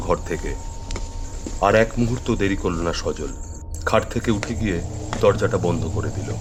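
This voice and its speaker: Male speech with ordinary pitch variation, noticeable background noise underneath. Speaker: storyteller / radio drama narrator. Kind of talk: horror story narration (radio drama).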